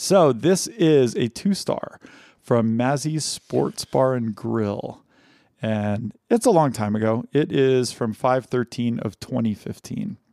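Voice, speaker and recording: At a very slow pace, a dark, mellow voice moves with lively intonation in a dry, close sound with no echo and a very clean recording against a silent background. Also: man, medium pitch for a man. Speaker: podcast host.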